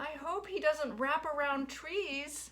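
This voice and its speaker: A woman speaks at a fairly slow pace in a squeaky, high-pitched, put-on character voice. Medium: read story. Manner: fretful, doting.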